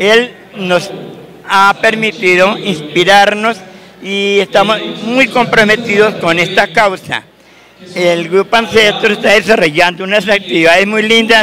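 A man speaks in a raised, projected voice with high pitch for a man, fairly even intonation and a fairly slow pace, his loudness very even throughout, over light background noise. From Colombia, Cundinamarca. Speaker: folk dance director and retired teacher. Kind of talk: TV interview. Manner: halting, repeats words. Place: hall. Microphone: handheld.

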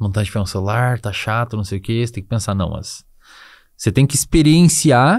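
On a very clean recording with a silent background, an ordinary speaking voice moves at a fairly quick pace with ordinary pitch variation. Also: man, medium pitch for a man. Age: 20s. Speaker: psychologist and neuroscience expert. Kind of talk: casual interview chat.

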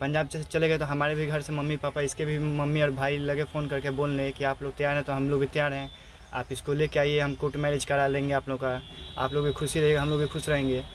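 A man talks at a moderate pace with monotone, flat intonation. Light background noise sits under a dry sound with no echo. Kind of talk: interview answer. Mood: calm, slightly subdued. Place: car. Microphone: phone near.

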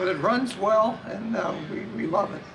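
A man speaks with noticeable background noise behind him. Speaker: interviewee. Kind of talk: interview answer. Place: hall.

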